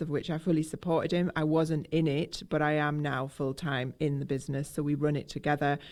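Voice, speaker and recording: Over a silent background in a very clean recording, a woman speaks at a moderate pace. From northern England, Durham. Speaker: drumming business co-owner. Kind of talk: casual radio interview. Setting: drum training room, radio outside broadcast.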